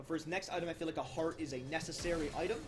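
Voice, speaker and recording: With music in the background, a man speaks at a very fast pace in a high pitch. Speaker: esports caster. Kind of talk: live commentary. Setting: live stream. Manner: loud.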